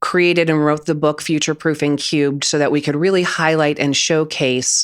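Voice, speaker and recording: On a very clean recording with a silent background, a woman with a very deep, low pitch speaks at a fairly quick pace and with fairly even intonation. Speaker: business founder and author. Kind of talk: interview. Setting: podcast interview.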